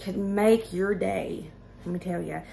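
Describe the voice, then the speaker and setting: A woman speaks with a Southern US accent. Her tone is animated. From US South. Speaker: cooking and budget vlogger. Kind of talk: casual cooking tutorial. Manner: chatty, animated.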